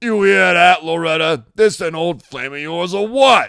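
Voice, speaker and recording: A man puts on a character voice pitched high for a man. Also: moderate pace, big swings in loudness. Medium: read story. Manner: menacing, quiet and threatening.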